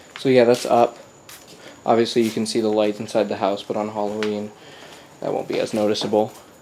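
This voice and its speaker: Speaking at a fairly quick pace but with long, frequent pauses, a man keeps a monotone, flat intonation over noticeable background noise. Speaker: YouTuber documenting home haunt build. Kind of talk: casual vlog. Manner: casual, halting with fillers.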